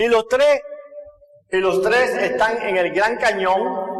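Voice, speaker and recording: Speaking fairly slowly with a Cuban accent and ordinary pitch variation, a man is heard amid audible room echo. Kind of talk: testimony talk.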